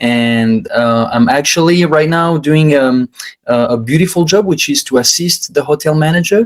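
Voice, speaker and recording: With a French accent, a man speaks at a fairly high pitch. His intonation is lively and his loudness very even. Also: moderate pace. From France. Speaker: hospitality worker, husband. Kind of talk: casual chat. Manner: halting.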